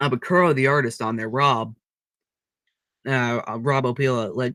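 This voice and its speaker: The man's voice sits at a medium pitch and moves at a moderate pace. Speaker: streamer. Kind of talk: casual chat. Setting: livestream. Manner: monotone.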